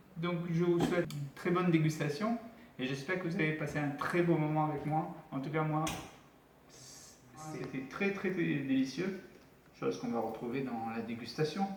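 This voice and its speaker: A man at a moderate pace with ordinary pitch variation, plus audible room echo and noticeable background noise. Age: 40s. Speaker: cooking channel host. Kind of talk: cooking tutorial.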